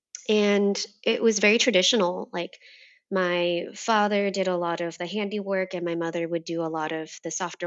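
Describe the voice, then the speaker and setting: A woman speaks in an unremarkable speaking voice at medium pitch. Her intonation is fairly even and her pace moderate. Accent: American. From US, Vietnamese American family. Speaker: gender equity educator. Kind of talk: casual chat.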